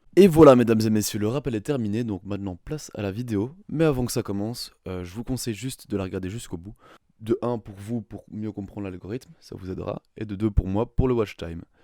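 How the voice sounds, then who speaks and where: On a very clean recording with a silent background, a man with a fairly low, dark, mellow voice talks at a fairly quick pace with ordinary pitch variation and big swings in loudness, the sound dry and close with no echo. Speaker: programming tutorial youtuber. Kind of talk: tutorial. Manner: casual, joking.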